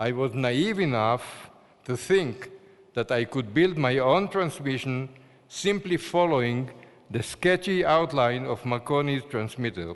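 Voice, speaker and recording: A man's medium-pitched voice with an Israeli accent and lively intonation. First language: Hebrew. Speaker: award-winning scientist. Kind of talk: award acceptance speech. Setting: ceremony hall. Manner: formal.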